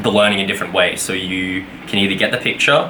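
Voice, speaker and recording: Very fast speech in an Australian accent, with noticeable background noise and audible room echo. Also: man. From Australia (Brisbane). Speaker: vlogger, game developer. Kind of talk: casual vlog. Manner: casual, many fillers.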